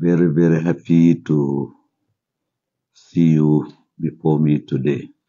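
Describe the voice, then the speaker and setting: With a Nigerian accent, a man talks in a very deep, low voice, monotone and flat, at a very slow pace with long, frequent pauses. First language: Hausa. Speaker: Islamic cleric. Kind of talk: formal welcome speech. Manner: formal.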